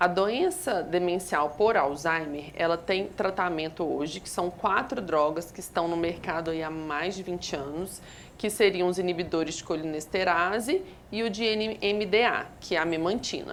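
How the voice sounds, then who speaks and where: A woman with a plain, everyday voice, fairly low in pitch with ordinary variation, at a moderate pace. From Minas Gerais, Brazil (Belo Horizonte). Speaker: geriatrician and palliative care doctor. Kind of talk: TV health interview answering viewer questions. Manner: explanatory, clinical.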